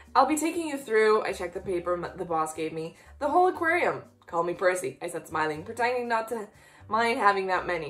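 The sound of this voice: The clip is in an unforced reading voice.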